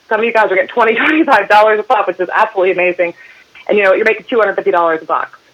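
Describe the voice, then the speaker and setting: An energetic woman's voice with ordinary pitch variation over noticeable background noise. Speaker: network marketing team leader. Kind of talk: sales training call. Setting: conference call. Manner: fast, energetic.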